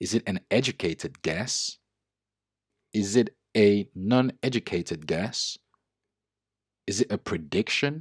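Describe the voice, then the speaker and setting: Over a silent background in a very clean recording, the speaker talks at a fairly slow pace with lively intonation, long and frequent pauses, and a dry, close sound with no echo. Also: man, fairly low pitch for a man. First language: not English. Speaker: trading educator and user researcher. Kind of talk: tutorial.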